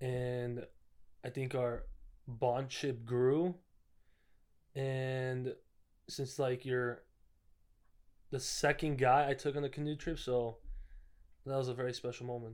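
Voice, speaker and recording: A soft-spoken man talks at a very slow pace with long, frequent pauses. His medium-pitched voice has monotone, flat intonation. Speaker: guest. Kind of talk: casual chat. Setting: apartment.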